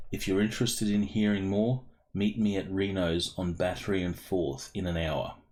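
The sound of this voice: A man uses a put-on character voice with a rumbling quality. His pitch is fairly low and his pace moderate.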